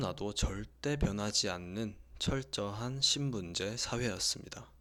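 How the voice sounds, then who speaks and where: The man has an unremarkable speaking voice, pitched fairly low. His intonation is lively. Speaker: audiobook reader, sleep-ASMR narrator. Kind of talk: sleep-aid audiobook reading, calm late-night narration. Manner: soft, calm, slow.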